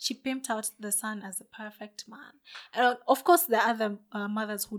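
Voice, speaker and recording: A woman with an unremarkable speaking voice talks at a fairly quick pace, her pitch fairly high. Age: 20s. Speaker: podcast co-host. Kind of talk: casual chat.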